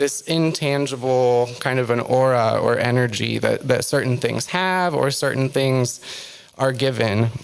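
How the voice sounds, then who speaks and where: Soft-spoken and medium in pitch, a man talks at a fairly slow pace with fairly even intonation and very even loudness, with audible room echo around him. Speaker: author and witch giving a talk. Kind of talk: lecture. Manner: halting, many fillers.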